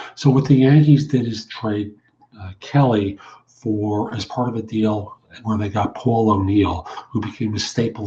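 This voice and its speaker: A man with a New York accent talks at a fairly low pitch. His voice is somewhat breathy, with ordinary pitch variation. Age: 60s. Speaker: recruiter and career coach. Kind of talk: podcast monologue. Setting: internet radio show.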